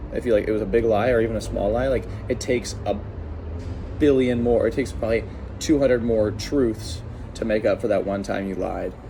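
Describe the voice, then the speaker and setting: Delivered at a fairly quick pace with fairly even intonation, the speech comes with noticeable background noise and audible room echo. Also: man, medium pitch for a man. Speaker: lawn care business owner. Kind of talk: personal vlog storytelling. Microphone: no microphone.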